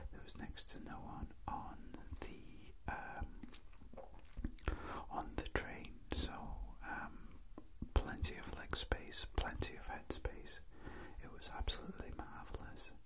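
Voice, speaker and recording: Over loud background noise, the speech moves at a very slow pace with long, frequent pauses. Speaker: asmr creator. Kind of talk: soft spoken ramble. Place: train.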